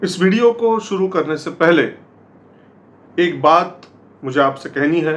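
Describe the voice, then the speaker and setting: A man speaks with a high pitch and ordinary pitch variation. He leaves long, frequent pauses. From Maharashtra, India. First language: Marathi (speaking Hindi). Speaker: political commentary YouTuber. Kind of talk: political commentary monologue. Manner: hesitant, with filler sounds.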